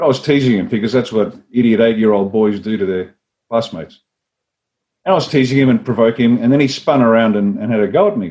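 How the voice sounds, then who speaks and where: An Australian accent marks this man's very fast speech, which has a dark, mellow tone. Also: medium pitch for a man, ordinary pitch variation. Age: 60s. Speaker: former army officer and party leader. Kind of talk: interview. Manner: animated storytelling.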